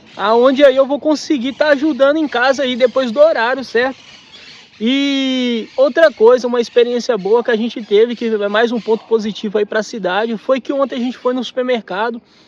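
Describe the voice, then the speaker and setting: Against noticeable background noise, a man with an extremely high pitch speaks at a moderate pace with fairly even intonation. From Minas Gerais, Brazil. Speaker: travel vlogger. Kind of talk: casual chat.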